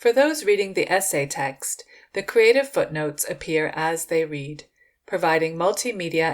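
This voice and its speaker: A woman speaks with a fairly low pitch at a moderate pace. The recording is very clean, with a silent background. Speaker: writer reading own essay. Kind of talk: reading aloud.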